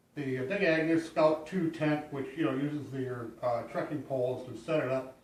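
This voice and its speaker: A man speaks at a fairly slow pace with fairly high pitch and fairly even intonation, amid noticeable background noise and audible room echo. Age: 60s. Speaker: hiker. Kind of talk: gear tutorial. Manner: halting, many fillers; casual.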